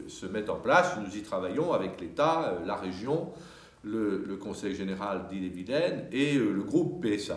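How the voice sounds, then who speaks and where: Audible room echo surrounds a man speaking at a fairly slow pace. His fairly low pitch moves in very wide swings. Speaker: city mayor. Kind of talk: interview answer. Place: hall.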